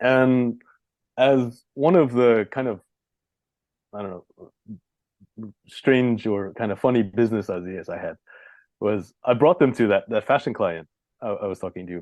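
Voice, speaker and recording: Speaking at a moderate pace and a medium pitch, a man takes long, frequent pauses, with ordinary pitch variation and big swings in loudness. The sound is dry and close with no echo, against a quiet background. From New York City. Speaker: localisation and branding consultant. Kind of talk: interview. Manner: halting, many fillers and restarts.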